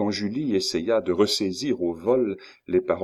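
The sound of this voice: The voice heard here is an unforced reading voice. It is used throughout.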